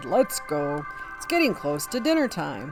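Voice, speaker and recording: Over clear background music, a man uses a put-on character voice at a moderate pace. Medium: read story. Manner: warm, hearty.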